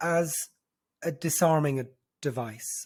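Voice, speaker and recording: A man speaks with an Irish accent. His pace is very slow. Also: very clean recording, silent background. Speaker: brand strategist. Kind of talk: interview answer.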